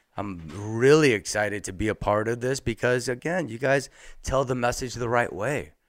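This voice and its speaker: A man with an unremarkable speaking voice at medium pitch and moderate pace, ordinary pitch variation, on a very clean recording with a silent background. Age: 40s. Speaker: cannabis entrepreneur. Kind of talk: casual chat.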